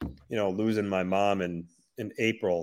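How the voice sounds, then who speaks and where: On a very clean recording with a silent background, a man talks at a fairly low pitch. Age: 30s. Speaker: hockey podcast co-host. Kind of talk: casual chat. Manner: halting, many fillers.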